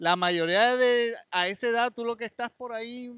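Speech comes at a moderate pace with ordinary pitch variation. The background is quiet and the sound is dry with no echo. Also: man. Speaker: podcast co-host. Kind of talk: casual interview. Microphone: handheld.

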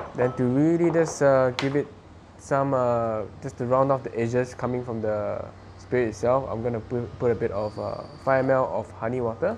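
A man talks at a moderate pace with fairly even intonation. Light background noise can be heard. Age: 20s. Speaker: bartender. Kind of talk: tutorial. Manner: casual, with frequent fillers. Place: home room.

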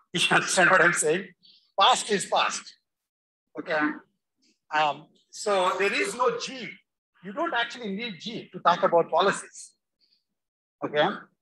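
A woman's bright, sharp voice at a moderate pace, with long, frequent pauses and noticeable background noise. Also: ordinary pitch variation. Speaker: university instructor. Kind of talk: lecture. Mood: emphatic, correcting. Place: classroom.

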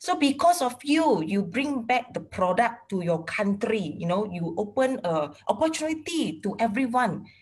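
Her pitch sits fairly high and swings very widely as she talks at a fairly slow pace. The woman sounds somewhat breathy against a quiet background. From Malaysia. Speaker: interviewer. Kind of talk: casual interview. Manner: code-switching between English and Malay. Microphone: video call.

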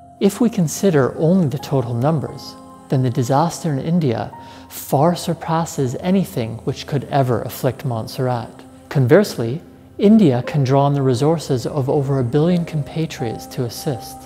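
A man at a moderate pace with ordinary pitch variation, faint music in the background. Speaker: professor presenting science series. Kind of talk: educational explainer. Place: studio. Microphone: lapel.

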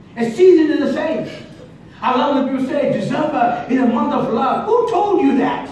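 Amid strong room echo and light background noise, a man with an extremely high pitch talks in an animated tone with ordinary pitch variation. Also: moderate pace. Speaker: preacher. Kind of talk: sermon. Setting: church. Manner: repetitive, call-and-response. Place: church. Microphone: camera far.

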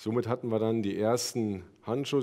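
Someone talks at a very fast pace with fairly even intonation over a quiet background. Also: man. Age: 30s. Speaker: production and logistics manager; conference speaker. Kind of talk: conference talk. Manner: halting. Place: hall. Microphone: headset.

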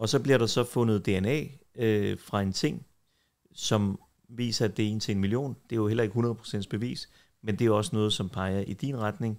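A man's normal speaking voice at medium pitch and a moderate pace, with ordinary pitch variation and a quiet background. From Denmark, Copenhagen (Tingbjerg); Denmark. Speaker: defence lawyer. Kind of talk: casual interview. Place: home room. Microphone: studio mic.

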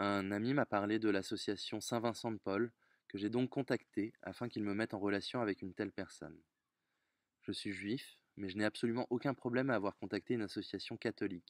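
A man speaks at a fairly quick pace with fairly low pitch and fairly even intonation, the sound dry with no echo and the background quiet. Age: 30s. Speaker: volunteer donor. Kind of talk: testimony. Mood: earnest, reflective. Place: garden. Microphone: phone near.

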